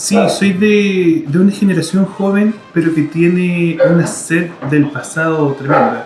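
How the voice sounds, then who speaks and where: Over music in the background, a man with a high pitch speaks at a very slow pace with hardly any pauses, very even loudness and ordinary pitch variation. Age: 30s. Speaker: singer-songwriter. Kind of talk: interview.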